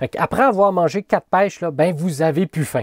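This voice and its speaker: A man with a Quebec accent talks at a fairly quick pace in an animated tone. The sound is dry with no echo, over a quiet background. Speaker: college teacher. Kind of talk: lecture. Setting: recorded video lesson. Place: home room. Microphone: webcam.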